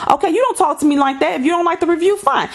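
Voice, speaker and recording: Against noticeable background noise, a woman speaks in an animated tone with lively intonation. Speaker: YouTuber. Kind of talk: vlog rant. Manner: fast.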